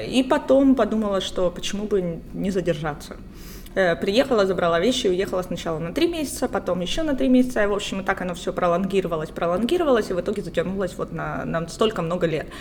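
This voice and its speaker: Lively intonation marks this woman's speech. She talks very fast at a medium pitch. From Luhansk, Ukraine. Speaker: writer. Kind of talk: casual chat. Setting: coffee shop.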